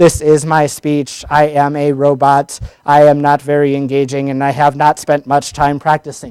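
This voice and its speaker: A man puts on a character voice, fairly high for a man and monotone with flat intonation. He keeps a moderate pace with hardly any pauses. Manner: flat, unengaging.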